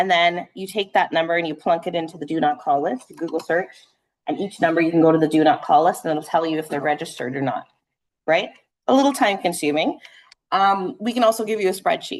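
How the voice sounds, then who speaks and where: A woman's very fast, fairly low-pitched speech with lively intonation. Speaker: real estate trainer. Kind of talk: training session. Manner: animated.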